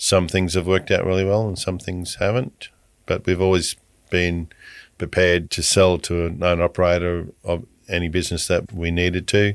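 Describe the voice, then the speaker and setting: Over a silent background in a very clean recording, a man with an Australian accent speaks at a moderate pace, his very deep, low pitch held in monotone, flat intonation. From rural Queensland, Australia. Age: 60s. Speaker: supermarket owner, former bank officer. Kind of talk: interview.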